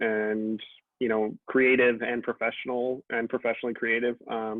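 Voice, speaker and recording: A man with a Miami accent speaks at a medium pitch. His intonation is monotone and flat. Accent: American English, Miami. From Miami, Florida (Cuban American family). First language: Spanish. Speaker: writer and comics editor. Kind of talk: interview.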